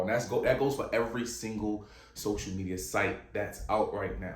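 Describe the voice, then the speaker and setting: Through noticeable background noise and audible room echo, a man speaks with an American accent. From Virginia. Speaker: podcast host. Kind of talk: casual monologue. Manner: halting.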